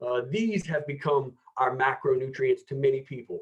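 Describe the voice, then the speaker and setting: The speaker has an American accent and ordinary pitch variation. The voice is somewhat breathy. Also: man. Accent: American accent, noticeable to UK audience. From United States. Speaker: health expo presenter on nutrition. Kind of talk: presentation talk. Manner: enthusiastic, conversational with many fillers.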